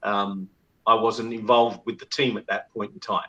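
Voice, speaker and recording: In a London accent, a man speaks at a moderate pace and medium pitch, his tone bright and sharp. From England, London. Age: 60s. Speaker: former rugby team manager. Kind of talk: podcast interview.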